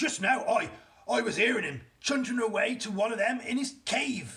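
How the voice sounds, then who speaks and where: A put-on character voice from a man, pitched extremely high. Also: moderate pace. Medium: read story. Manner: eager, ungrammatical.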